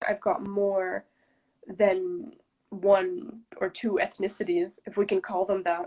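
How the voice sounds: A woman speaks at a medium pitch with little pitch movement. Her tone is slightly mellow.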